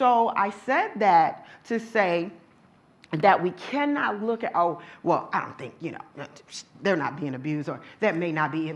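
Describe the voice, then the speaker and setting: A woman speaks loudly in an animated tone at a moderate pace, with audible room echo. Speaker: domestic violence survivor and advocate speaker. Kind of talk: lecture.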